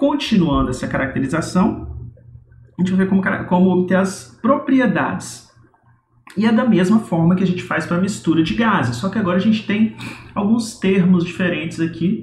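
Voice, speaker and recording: A man's high-pitched voice with lively intonation at a moderate pace, over noticeable background noise. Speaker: university lecturer. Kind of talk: recorded lecture. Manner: casual, explanatory.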